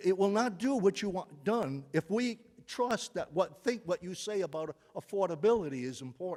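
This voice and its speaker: A man talks at a moderate pace and a high pitch with lively intonation. The sound is dry and close with no echo. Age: 70s. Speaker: resident speaking at public comment. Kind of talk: public testimony at town council meeting. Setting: town council meeting. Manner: halting, with frequent repetitions.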